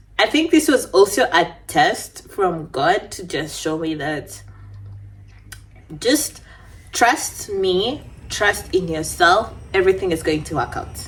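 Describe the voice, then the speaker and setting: With a non-native accent, a woman speaks in very wide pitch swings. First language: not English. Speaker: beauty vlogger. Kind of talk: casual storytime chat. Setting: at home.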